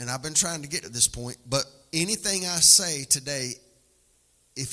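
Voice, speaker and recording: An animated man with a Southern US accent, lively intonation and a moderate pace. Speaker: preacher. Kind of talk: sermon, preacher in full flow. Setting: church with live congregation. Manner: animated, exhorting the congregation; folksy, humorous.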